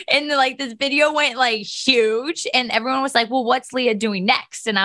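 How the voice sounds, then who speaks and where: A woman with an American accent speaks at a high pitch with ordinary pitch variation and hardly any pauses, against noticeable background noise. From Ohio, near Steubenville. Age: 20s. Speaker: nonprofit founder, cancer survivor. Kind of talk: podcast interview, personal testimony.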